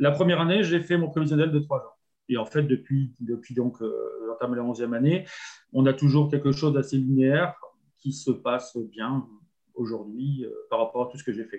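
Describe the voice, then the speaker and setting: Somewhat breathy and fairly high-pitched for a man, he speaks at a moderate pace with ordinary pitch variation. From northern France. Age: 50s. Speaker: campsite owner, former salesman. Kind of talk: interview.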